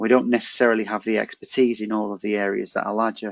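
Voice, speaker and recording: In a northern English accent, a man talks very fast at a medium pitch with monotone, flat intonation. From northern England. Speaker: housing charity manager, navy veteran. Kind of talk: webinar presentation. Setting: video call. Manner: hesitant, many fillers.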